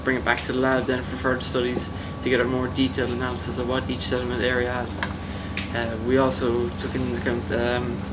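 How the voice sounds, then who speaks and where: A man rattles off his words very fast while loud background noise fills the recording. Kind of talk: interview answer. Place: boat.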